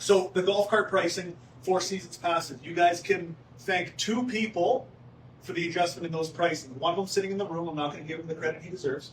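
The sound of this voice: A man talks at a fairly quick pace with a high pitch. His intonation stays fairly even.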